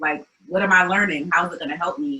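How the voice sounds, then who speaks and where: A woman with an American accent and a plain, everyday voice speaks at a medium pitch and moderate pace, with lively intonation. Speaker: community founder. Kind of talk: interview. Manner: casual, many fillers.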